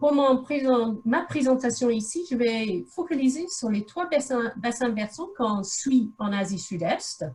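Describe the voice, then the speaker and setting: Speaking in an English accent, a woman uses a high pitch and lively intonation. Her pace is very slow, with hardly any pauses. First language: English (speaking French). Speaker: researcher. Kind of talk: lecture. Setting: video call. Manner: halting.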